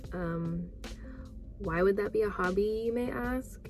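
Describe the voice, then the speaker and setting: Music plays in the background as a woman talks. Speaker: vlogger. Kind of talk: casual talk to camera. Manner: slow.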